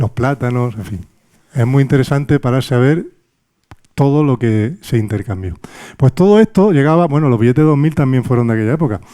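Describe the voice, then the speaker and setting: A man with a medium-pitched voice and a dark, mellow tone. His intonation is lively and his pace fairly quick. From Andalusia, Cádiz. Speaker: lecturer. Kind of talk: lecture. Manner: animated.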